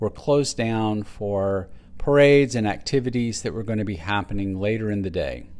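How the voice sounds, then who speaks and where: A man with a Texas accent and ordinary pitch variation. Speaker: travel vlogger. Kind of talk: travel narration.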